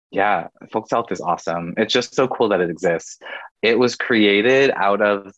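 A man's fairly low voice with a West Coast US accent, ordinary pitch variation and a moderate pace against a quiet background. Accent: General American, West Coast. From US West Coast, Oregon. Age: 30s. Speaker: digital content creator and LGBTQ advocate. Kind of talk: casual interview chat.

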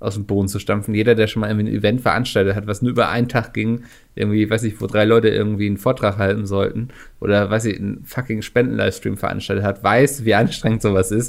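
On a very clean recording with a silent background, a man with a fairly low pitch and vocal fry speaks at a very fast pace in a monotone, flat intonation. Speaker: podcast co-host. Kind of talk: casual chat.

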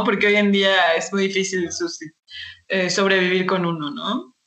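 An unremarkable speaking voice, from a woman at a medium pitch. Her pitch varies in an ordinary way, and her pace is moderate. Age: 20s. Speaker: podcast host. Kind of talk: casual chat.

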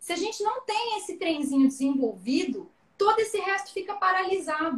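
Her pitch is extremely high, with lively intonation. The woman keeps to a moderate pace. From Paraná, southern Brazil (Maringá). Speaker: productivity guest. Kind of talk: casual live stream chat. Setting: video live stream.

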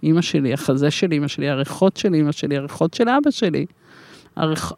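An unremarkable speaking voice carries lively intonation in a dry, close sound with no echo. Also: woman. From Israel. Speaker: life coach and coaching school founder. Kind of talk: interview.

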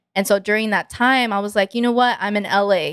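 The speech comes at a moderate pace with fairly even intonation on a very clean recording with a silent background. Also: woman. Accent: American. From Texas. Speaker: singer. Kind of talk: casual interview. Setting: studio.

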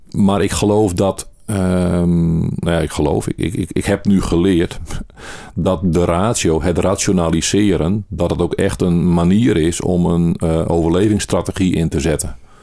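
Very deep and low, this man's voice moves at a fairly slow pace with fairly even intonation. His loudness stays very even, and there is noticeable background noise. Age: 40s. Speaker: interviewee sharing mental health experience. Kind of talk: personal testimony interview. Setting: in-person interview.

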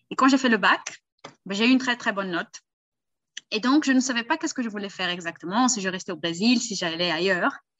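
A woman's fairly high voice, very fast and lively in intonation, broken by long, frequent pauses. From Brazil. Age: 20s. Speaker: language tutor. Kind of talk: casual chat.

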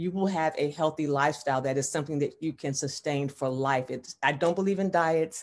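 A woman's very deep, low voice at a fairly quick pace, with ordinary pitch variation and hardly any pauses. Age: 60s. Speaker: fitness trainer and ministry founder. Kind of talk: interview.

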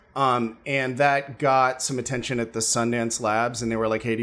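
A man with a normal speaking voice talks in an American accent. His pace is moderate and his intonation fairly even. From US, New York. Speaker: filmmaker and graphic novel author. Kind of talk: casual interview chat.

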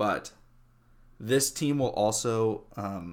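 The recording is very clean and the background silent as a man talks at a medium pitch. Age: 20s. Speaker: sports podcast host. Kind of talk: casual solo sports commentary. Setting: home recording in his room.

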